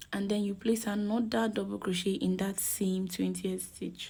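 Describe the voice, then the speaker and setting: At a fairly slow pace, a soft-spoken woman talks. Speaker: crochet tutorial maker. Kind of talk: tutorial.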